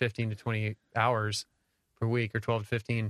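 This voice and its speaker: Against a quiet background, a man speaks at medium pitch with a dry, close sound and no echo. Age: 40s. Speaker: podcast co-host. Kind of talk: interview. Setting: treated home studio.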